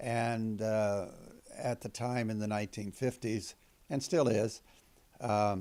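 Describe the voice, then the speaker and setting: A man's dark, mellow tone at a medium pitch, very slow and fairly even in intonation, broken by long, frequent pauses. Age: 70s. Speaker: retired former Baptist, atheist. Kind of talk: interview testimony. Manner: halting, many fillers.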